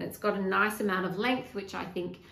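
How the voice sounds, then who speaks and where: With an Australian accent, a woman speaks at a medium pitch in a room with audible echo. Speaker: knitting vlogger. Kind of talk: casual chat. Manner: hesitant, with fillers.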